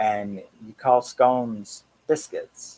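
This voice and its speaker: A man with a medium pitch speaks at a very slow pace. His tone is relaxed. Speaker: horror and metal channel host. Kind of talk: casual live stream chat.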